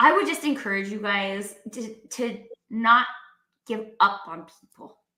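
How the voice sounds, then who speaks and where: Over audible room echo, a woman speaks at a fairly high pitch and fairly slow pace. Her pitch varies in an ordinary way, and her loudness swings widely. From Canada. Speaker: talk show host. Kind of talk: casual live-stream conversation. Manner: animated.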